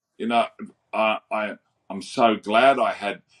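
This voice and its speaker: This man has a fairly low pitch and an Australian accent. The sound is dry and close, with no echo. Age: 60s. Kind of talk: interview conversation.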